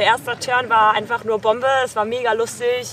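A woman is speaking. Music plays behind her. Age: 20s. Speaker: sailing skipper. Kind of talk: interview.

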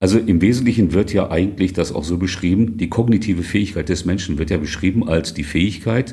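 Somewhat breathy and very deep, a man's voice moves at a fairly quick pace. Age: 50s. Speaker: interim manager and author. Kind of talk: interview. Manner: casual, conversational.

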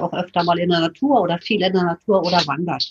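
At a fairly quick pace, a woman talks at medium pitch in a somewhat breathy voice. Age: 60s. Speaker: retired physician. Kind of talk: interview.

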